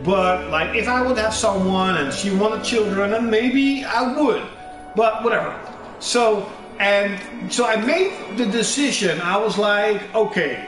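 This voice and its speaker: A high-pitched man with a Dutch accent, at a fairly slow pace with ordinary pitch variation and very even loudness, over background music and audible room echo. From Netherlands. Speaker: gamer streamer. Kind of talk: casual gameplay commentary.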